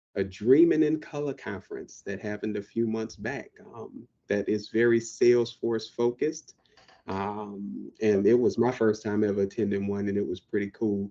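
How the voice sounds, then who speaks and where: Using ordinary pitch variation, a man with an American accent speaks in a dark, mellow tone at fairly low pitch. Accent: Southern drawl, comes out when excited. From US South, New Orleans. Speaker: IT professional, podcast co-host. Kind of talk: casual chat. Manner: talkative.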